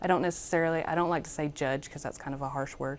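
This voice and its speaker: The voice belongs to a woman. Her pitch holds fairly even throughout. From Alabama. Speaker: Marine Corps veteran student. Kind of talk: interview answers. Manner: hesitant, many fillers.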